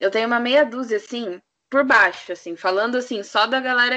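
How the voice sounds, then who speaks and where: Speaking in an unremarkable speaking voice, a woman with a fairly high pitch keeps a moderate pace and ordinary pitch variation. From Curitiba, Brazil. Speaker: podcast co-host, journalism student. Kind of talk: casual chat.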